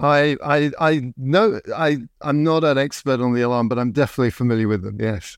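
Speaking with an English accent, a man keeps a medium pitch and a fairly quick pace. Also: ordinary pitch variation. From England. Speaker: podcast host. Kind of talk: interview.

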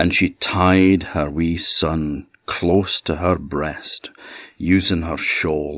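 A man's very deep, low voice in an Orkney accent, warm in tone, monotone and flat, at a very slow pace. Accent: Orcadian Scots. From Orkney, Scotland. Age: 60. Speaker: storyteller. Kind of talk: fireside folk-tale storytelling, a true shipwreck legend told aloud. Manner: unhurried, vivid narrative pacing with dramatic emphasis on peril; warm, conversational asides in dialect.

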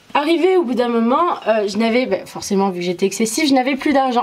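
A woman speaks with lively intonation. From Morocco, moved to France at 8. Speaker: interview guest. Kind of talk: personal testimony.

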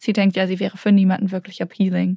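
A woman with a dark, mellow tone and a somewhat breathy voice speaks at a fairly quick pace. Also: dry, close sound with no echo. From Berlin, Germany (Kreuzberg). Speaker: novelist. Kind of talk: interview. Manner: hesitant, many fillers.

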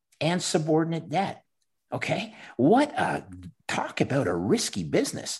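Against a quiet background, a man with a Canadian accent speaks at a moderate pace, using very wide pitch swings and vocal fry. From Canada. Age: 50s. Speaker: former bond trader and Bitcoin investor. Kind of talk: interview.

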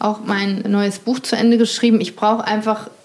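Noticeable background noise runs behind a woman with a fairly high voice. She speaks at a moderate pace with fairly even intonation. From North Rhine-Westphalia, Germany. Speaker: journalist and author. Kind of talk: casual chat during a house tour. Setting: at home by a lake.

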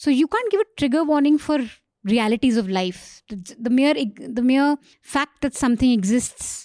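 A woman with ordinary pitch variation on a very clean recording with a silent background. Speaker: journalist. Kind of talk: casual panel discussion. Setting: studio.

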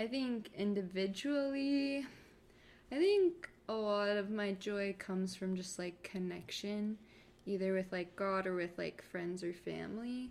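This woman has a plain, everyday voice and an American accent at medium pitch. She talks at a fairly slow pace with ordinary pitch variation. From Florida, US. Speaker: newlywed guest. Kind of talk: casual chat.

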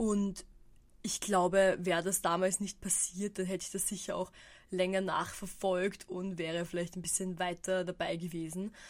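Speaking at a moderate pace, a woman keeps a monotone, flat intonation. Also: medium pitch for a woman. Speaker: podcaster. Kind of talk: casual solo monologue.

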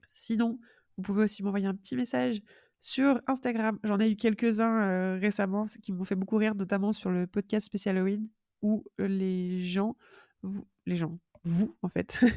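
A woman speaks at a fairly slow pace in a dark, mellow tone with medium pitch and ordinary variation, the sound dry and close with no echo on a very clean recording with a silent background. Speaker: podcast host. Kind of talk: solo podcast monologue. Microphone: new good microphone.

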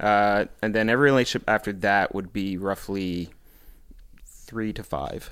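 In a Maritime Canadian accent, a man with a fairly low pitch is heard on a very clean recording with a silent background. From Prince Edward Island, Canada. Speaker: podcast guest. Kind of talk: casual chat. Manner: talkative.

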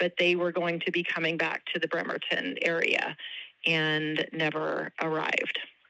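Monotone, flat intonation at a moderate pace, with very even loudness and noticeable background noise. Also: woman, fairly low pitch for a woman. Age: 50s. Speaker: relative of a missing person. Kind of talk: interview.

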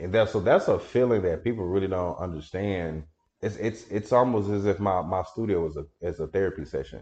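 A man with an American accent and a fairly low pitch talks at a fairly quick pace with ordinary pitch variation. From Texas, Dallas (Oak Cliff). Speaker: photographer and videographer. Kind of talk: casual interview chat. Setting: photography studio in shared artist building.

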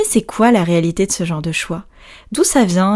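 An unremarkable speaking voice at a moderate pace, ordinary pitch variation, on a very clean recording with a silent background. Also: woman. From Brittany, France. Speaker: podcast host, yoga teacher. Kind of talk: scripted narration; casual chat.

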